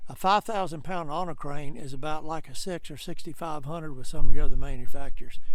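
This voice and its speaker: Talking at a very fast pace with hardly any pauses, a man with a fairly high pitch and ordinary pitch variation shows big swings in loudness. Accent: Southern US. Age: 70s. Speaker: truck dealer. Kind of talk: sales pitch. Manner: folksy, casual.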